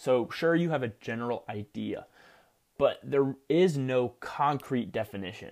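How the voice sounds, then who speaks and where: In a very clean recording with a silent background, a man speaks in a plain, everyday voice with an American accent. His pitch is medium with ordinary variation, and his pace is moderate. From New Jersey. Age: young. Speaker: podcast host, university student. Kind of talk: solo self-help monologue.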